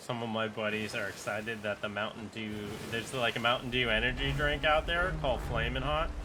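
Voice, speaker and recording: A man's medium-pitched voice at a fairly quick pace with hardly any pauses, over noticeable background noise. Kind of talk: casual gameplay commentary. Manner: monotone.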